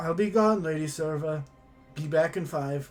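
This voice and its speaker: A man puts on a gruff character voice, pitched fairly high for a man. He talks at a moderate pace over faint background music. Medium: actual play. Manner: gruff, exasperated.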